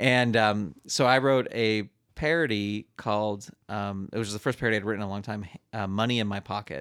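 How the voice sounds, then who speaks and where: A man's fairly low voice, a plain, everyday voice, fairly quick with ordinary pitch variation, dry and close with no echo in a very clean recording with a silent background. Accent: American. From US West Coast, San Francisco Bay Area. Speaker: musical comedian and puppeteer. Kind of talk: casual chat.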